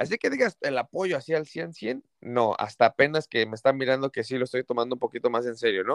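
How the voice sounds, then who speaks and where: A man speaks in a plain, everyday voice at medium pitch with ordinary pitch variation, talking at a fairly quick pace with hardly any pauses, the sound dry and close with no echo. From Mexico City. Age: 30s. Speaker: comedian. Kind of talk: casual interview.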